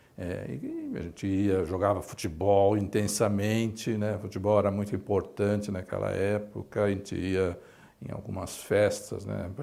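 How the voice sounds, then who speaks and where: The delivery comes at a fairly slow pace. Its intonation is monotone and flat. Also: man, fairly low pitch for a man. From Brazil, São Paulo east side. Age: 60s. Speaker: medical professor. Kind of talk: life story interview. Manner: halting, many fillers.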